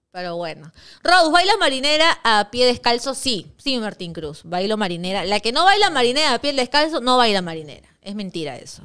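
A woman speaks fairly quickly in a fairly high pitch, with a bright, sharp, animated tone. Her pitch swings very widely and her loudness shifts a lot, against a quiet background. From Peru. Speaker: sports show host. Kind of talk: casual sports talk show. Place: studio. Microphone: studio mic.

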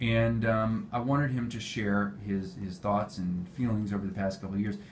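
A man's fairly low, fairly quick voice, a plain, everyday voice. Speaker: pain management physician. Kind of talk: clinical patient interview. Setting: medical clinic.

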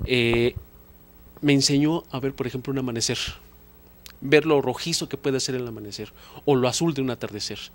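A man at a medium pitch, fairly quick and fairly even in intonation, with long, frequent pauses. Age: 40s. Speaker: photographer; guest. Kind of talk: interview. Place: studio. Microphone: handheld.

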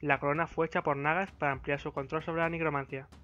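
Fairly high in pitch, this man speaks at a very fast pace with fairly even intonation. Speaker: gaming lore video creator. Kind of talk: game lore narration.

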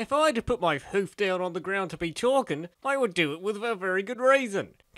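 Lively intonation in a plain read-aloud delivery

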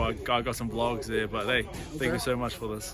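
A man at a fairly quick pace, dry sound with no echo, noticeable background noise behind him. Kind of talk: interview answer. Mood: upbeat, grateful. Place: street. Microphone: phone near.

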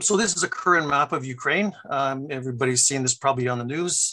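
A man talks at a very fast pace with a bright, sharp tone. His pitch varies in an ordinary way, and the background is quiet. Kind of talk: lecture. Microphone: video call.

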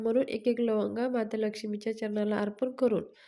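Her tone is dark and mellow, set at a fairly high pitch. The woman's intonation stays monotone and flat. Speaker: devotional YouTuber. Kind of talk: devotional tutorial.

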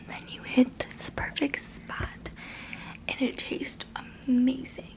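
A woman speaks in a whisper. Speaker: ASMR creator. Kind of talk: whispery roleplay talk to viewer. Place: home room. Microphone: phone near.

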